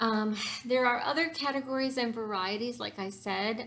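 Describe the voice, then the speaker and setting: A plain, everyday voice from a woman, moderate in speed and ordinary in pitch variation. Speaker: YouTuber discussing narcissism. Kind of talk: informal talk to camera. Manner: many filler words (um, uh).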